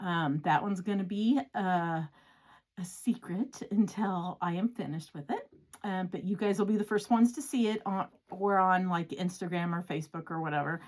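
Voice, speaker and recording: A woman speaks at a moderate pace in a somewhat breathy, medium-pitched voice with ordinary pitch variation. The recording is very clean, with a silent background. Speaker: cross-stitch vlogger and pattern designer. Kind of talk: casual chat. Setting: home craft room.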